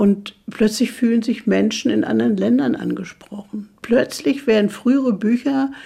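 A woman with a fairly high voice and vocal fry speaks with ordinary pitch variation. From Mecklenburg, northern Germany. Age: 80s+. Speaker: author. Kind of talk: interview.

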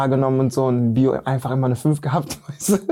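This man talks at a fairly quick pace, his medium pitch carrying a dark, mellow tone. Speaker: actor and choreographer. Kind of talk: casual interview. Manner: animated.

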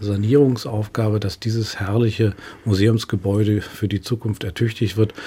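Over noticeable background noise, a man talks in a fairly low voice. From northern Germany, Lübeck. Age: 50s. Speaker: museum director. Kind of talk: radio interview. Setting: studio.

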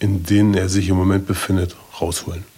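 Fairly low in pitch, a man's voice carries a dark, mellow tone. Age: 50s. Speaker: recovering addict. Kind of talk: testimony.

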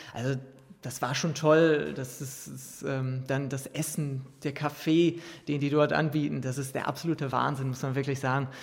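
Somewhat breathy, the voice holds a monotone, flat intonation at a moderate pace. Room echo is audible. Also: man, fairly high pitch for a man. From Ruhr area, Germany. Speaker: professional footballer. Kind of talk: interview. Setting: press container at a stadium.

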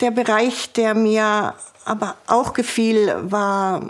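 Amid noticeable background noise, a woman's fairly high voice carries a monotone, flat intonation. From Swabia, southern Germany. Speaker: former police officer. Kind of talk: interview testimony. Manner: halting.

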